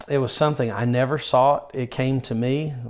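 A man speaks at a medium pitch and a moderate pace with a Southern US accent and fairly even intonation. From rural North Carolina (Yadkinville). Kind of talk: interview.

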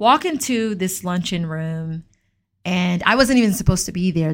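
A woman with an American accent and a fairly low pitch, at a fairly quick pace, in a very clean recording with a silent background. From US South, Atlanta, Georgia. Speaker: podcast host, tech founder. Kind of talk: solo podcast monologue, personal story. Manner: casual, conversational.

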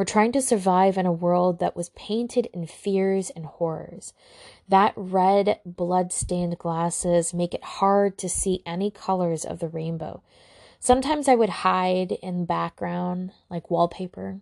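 At a fairly slow pace, a woman speaks in an unremarkable speaking voice with a medium pitch and ordinary pitch variation. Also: dry, close sound with no echo. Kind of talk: dramatic narration of a personal trauma piece, read aloud like spoken-word poetry. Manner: slow, somber and hushed, with heavy pauses and a sigh, building emotional intensity; solemn, deliberate and intimate, lingering on each image.

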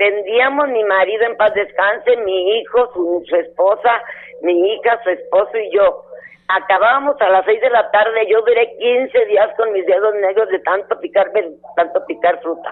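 A woman with a fairly high pitch at a fairly slow pace, noticeable background noise around her. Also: ordinary pitch variation. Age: 70s. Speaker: caller, mission sponsor. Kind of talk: phone-in chat.

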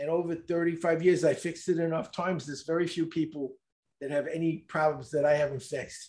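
A man with a New York accent speaks at a fairly quick pace and high pitch, keeping his intonation fairly even on a very clean recording with a silent background. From US Northeast, Brooklyn, New York. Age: 70s. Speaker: speed reading expert. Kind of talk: interview.

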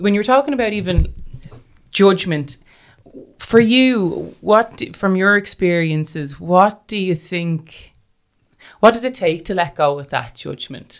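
Lively intonation marks this speech in an Irish accent, delivered at a fairly slow pace with long, frequent pauses. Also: woman, medium pitch for a woman. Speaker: podcast host. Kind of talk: interview. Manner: halting.

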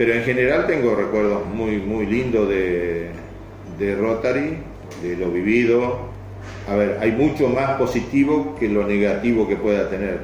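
With a Rioplatense accent, a man speaks at a fairly slow pace and a fairly low pitch with ordinary pitch variation, amid audible room echo and noticeable background noise. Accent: Argentine Spanish (rioplatense). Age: 70s. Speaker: club member. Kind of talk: interview. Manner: halting, many repetitions.

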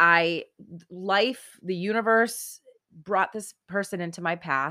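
Against a very clean, silent background, a woman speaks in an animated, bright, sharp tone at medium pitch with ordinary pitch variation. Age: 40s. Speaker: podcast host and life coach. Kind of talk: scripted intro monologue; interview.

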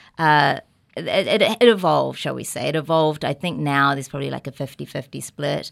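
A woman at a fairly quick pace, big swings in loudness, on a very clean recording with a silent background. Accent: New Zealand. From New Zealand. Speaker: podcast guest. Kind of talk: casual chat.

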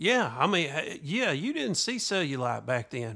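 A man with a Southern US accent speaks at a moderate pace in a bright, sharp tone and a fairly high pitch, on a very clean recording with a silent background. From US South. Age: 50s. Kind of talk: casual chat. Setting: studio.

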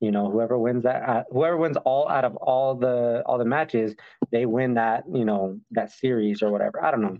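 A man with a plain, everyday voice speaks at a moderate pace and medium pitch. His loudness stays very even, and his pitch varies in an ordinary way. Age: 30s. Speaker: professional MMA fighter. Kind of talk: interview. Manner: casual, lots of fillers.

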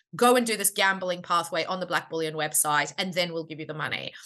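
Speaking very fast with an Australian accent, a woman has a bright, sharp tone, a fairly low pitch and ordinary pitch variation. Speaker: startup founder and CEO. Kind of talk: casual interview.

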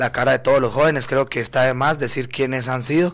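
Talking at a fairly quick pace, a man keeps a medium pitch. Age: 20s. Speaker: political candidate. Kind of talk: radio interview.

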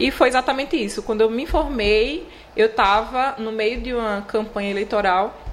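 A woman with an ordinary speaking voice talks at a moderate pace, her fairly high pitch showing ordinary variation. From Alagoas interior, Palmeira dos Índios. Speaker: chocolatier. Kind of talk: interview.

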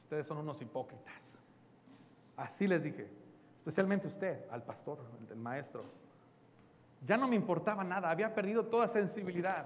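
Amid audible room echo, a man speaks at a high pitch and a moderate pace with lively intonation and long, frequent pauses. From Mexico. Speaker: pastor. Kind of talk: sermon.

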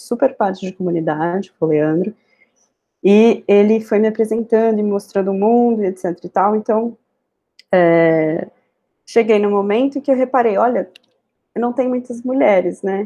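A woman speaks at a moderate pace in a dark, mellow tone, her loudness swinging widely. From Brazil, São Paulo. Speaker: software tech lead. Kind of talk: interview conversation.

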